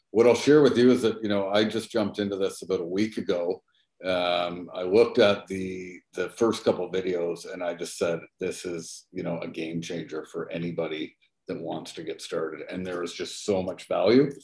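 A man talks at a moderate pace with big swings in loudness, his voice carrying audible room echo over a quiet background. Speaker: real estate agent and group host; group host. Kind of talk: interview. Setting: video call. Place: office. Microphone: webcam.

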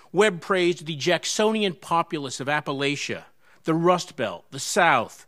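A high-pitched male voice against a quiet background. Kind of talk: formal introduction speech. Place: hall. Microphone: podium.

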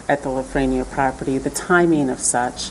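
A woman's fairly even intonation over light background noise. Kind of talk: meeting presentation. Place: meeting room. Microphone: podium.

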